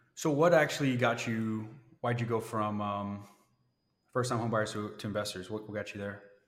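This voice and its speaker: A man speaks at a moderate pace in a fairly low pitch with fairly even intonation, and the room echo is audible. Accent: American. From Florida. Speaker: podcast host. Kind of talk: interview.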